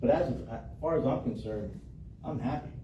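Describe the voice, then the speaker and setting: A man with an American accent, audible room echo around his voice. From Florida. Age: 50s. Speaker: local political candidate. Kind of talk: candidate Q&A at public meeting. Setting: meeting room with audience. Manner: casual, halting with repetitions.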